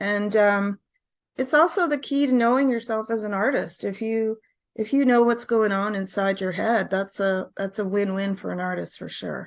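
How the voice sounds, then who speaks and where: In an unremarkable speaking voice, a woman with a Canadian accent talks at a moderate pace and medium pitch with ordinary pitch variation against a quiet background. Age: 60s. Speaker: singer-songwriter. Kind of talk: interview.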